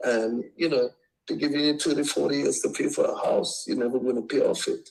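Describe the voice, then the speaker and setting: A man with a Caribbean accent at a fairly quick pace, his loudness very even. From Trinidad. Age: 60s. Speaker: home seller. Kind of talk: phone call with investor, casual negotiation. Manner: halting, many repetitions.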